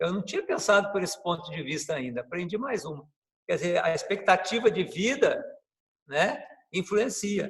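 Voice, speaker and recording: A man talks at a moderate pace. His pitch rises and falls in an ordinary way. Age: 60s. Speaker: capoeira master. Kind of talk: interview. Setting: video call.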